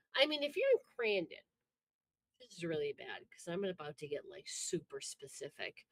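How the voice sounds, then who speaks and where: The speaker has an American accent and talks at a moderate pace. The sound is dry and close, with no echo. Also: woman. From Upper Midwest US. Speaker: wrestling podcast host. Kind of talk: casual chat. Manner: animated.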